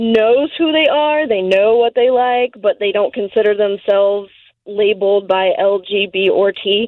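This is a normal speaking voice at a fairly slow pace. The intonation is lively. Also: woman. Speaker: caller. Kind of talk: casual chat. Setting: phone call.

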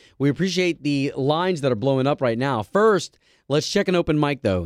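The delivery moves at a moderate pace. Its tone is animated. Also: man. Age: 30s. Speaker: morning radio host. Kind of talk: casual chat. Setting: studio.

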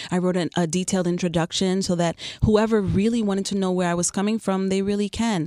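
A woman's medium-pitched voice with a New York accent, dark and mellow in tone, very fast, very even in loudness and monotone, with flat intonation. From New York (Queens). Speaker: photographer and artist. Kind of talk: radio interview. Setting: radio studio.

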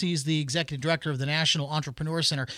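A man's bright, sharp tone comes through dry and close with no echo on a very clean recording with a silent background. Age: 40s. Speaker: podcast host and reporter. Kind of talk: casual podcast talk.

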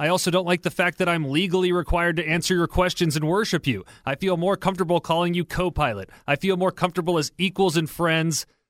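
A man talks at a very fast pace and high pitch, his intonation fairly even and his loudness very even. The sound is dry and close, with no echo. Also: very clean recording, silent background. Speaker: radio producer. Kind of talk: casual chat. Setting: studio.

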